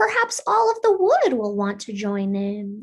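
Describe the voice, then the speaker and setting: Quietly and at a moderate pace, a woman uses a put-on character voice with a fairly high pitch. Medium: read story. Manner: quiet, shy.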